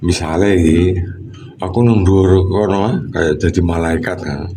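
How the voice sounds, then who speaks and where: Noticeable background noise and audible room echo accompany a man who speaks at a fairly slow pace. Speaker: water treatment consultant vlogger. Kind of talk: casual livestream chat. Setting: high up overlooking Surabaya.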